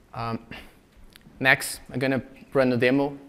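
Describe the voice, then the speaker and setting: In a Brazilian Portuguese accent, a man of medium pitch speaks with monotone, flat intonation. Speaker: software engineer and conference speaker. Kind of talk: conference talk. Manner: frequent filler hesitations.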